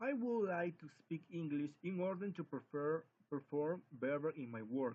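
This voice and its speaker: Speaking at a moderate pace with a Spanish accent, a man uses lively intonation at a fairly high pitch. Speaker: English language student. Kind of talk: spoken class assignment. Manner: halting.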